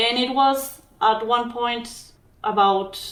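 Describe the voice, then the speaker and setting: A woman with a strong Mexican accent talks in a fairly high pitch, with audible echo from the room. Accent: thick Mexican Spanish. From Mexico. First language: Spanish. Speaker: physician and documentary filmmaker. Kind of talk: interview.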